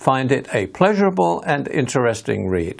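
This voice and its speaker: Using an English accent, a man speaks at a fairly slow pace and medium pitch, his pitch swinging very widely. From England. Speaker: author and hypnotherapist. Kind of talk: recorded video talk.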